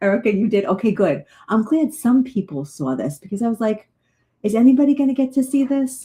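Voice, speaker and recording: Somewhat breathy and dark, mellow in tone, a woman talks at a fairly quick pace, her fairly high pitch making very wide swings. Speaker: psychic medium. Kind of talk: live stream chat. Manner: fast; animated.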